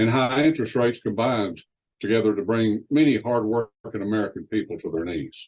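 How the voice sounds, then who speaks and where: A man speaks with a Texas accent. His pitch sits in the medium range. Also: ordinary pitch variation, fairly quick pace. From West Texas. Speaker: promotional presenter. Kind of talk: sales pitch.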